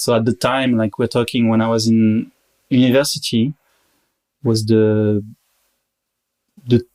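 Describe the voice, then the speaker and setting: A man with a strong French accent speaks at a moderate pace and medium pitch. His intonation is fairly even, and the recording is very clean with a silent background. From Paris, France. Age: 30s. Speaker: marketing worker. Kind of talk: podcast interview.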